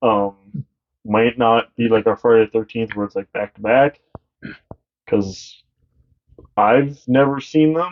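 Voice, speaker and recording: The speech moves at a fairly slow pace with long, frequent pauses. Pitch varies in an ordinary way. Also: man, medium pitch for a man. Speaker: podcast co-host. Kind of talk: casual chat.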